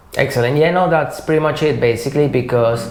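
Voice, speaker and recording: There is noticeable background noise and audible room echo. Through it, a man talks in a fairly high pitch. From Venezuela. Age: 30s. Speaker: materials engineer. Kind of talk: interview conversation. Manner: hesitant, with fillers.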